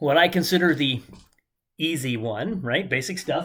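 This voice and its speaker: His voice is fairly high for a man. The intonation is lively. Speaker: chemistry teacher. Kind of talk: lecture. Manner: fast.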